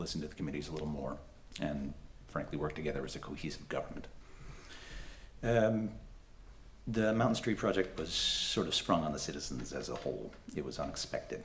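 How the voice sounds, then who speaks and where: Amid audible room echo, a man speaks at a fairly quick pace but leaves long, frequent pauses. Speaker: political candidate. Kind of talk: candidate forum speech. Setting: public forum with audience and microphone. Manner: halting, many fillers.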